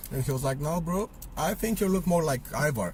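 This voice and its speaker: A man with a Romanian accent. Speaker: vlogger. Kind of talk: opinion monologue. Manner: casual, hesitant with fillers.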